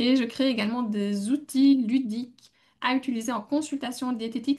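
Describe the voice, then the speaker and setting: A woman's high-pitched voice in a Belgian accent. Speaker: dietitian and podcast co-host. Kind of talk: casual podcast talk.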